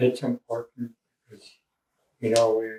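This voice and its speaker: A man with a medium-pitched voice. His tone is dark and mellow. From Canada, Cheam First Nation. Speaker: First Nation elder. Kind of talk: interview answer.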